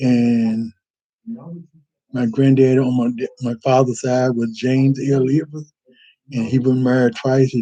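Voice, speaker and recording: The voice has a dark, mellow tone and monotone, flat intonation, moving at a fairly slow pace with long, frequent pauses. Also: man, medium pitch for a man. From North Carolina, Northampton County. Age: 60s. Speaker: church member telling life story. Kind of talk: personal testimony. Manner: halting, with self-corrections.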